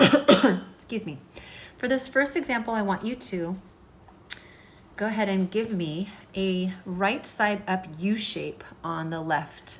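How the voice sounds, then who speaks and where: A woman's somewhat breathy voice at a very slow pace, broken by long, frequent pauses. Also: medium pitch for a woman, lively intonation. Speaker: art teacher. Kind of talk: tutorial.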